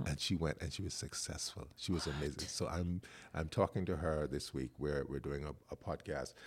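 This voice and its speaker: The speaker talks at a moderate pace in a very clean recording with a silent background. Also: man. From The Bahamas. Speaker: podcast host, dancer and choreographer. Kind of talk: casual interview conversation.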